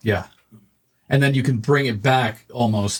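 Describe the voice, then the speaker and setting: A man talks with ordinary pitch variation and a somewhat breathy sound. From Canada. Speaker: podcast host. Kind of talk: casual interview.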